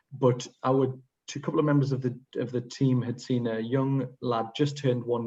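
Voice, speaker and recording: The voice is somewhat breathy and dark, mellow in tone, with monotone, flat intonation at a moderate pace. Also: man. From northern England, Sunderland/Newcastle area. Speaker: pediatric emergency medicine consultant. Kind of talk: case presentation to an international audience. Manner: hesitant, frequent fillers.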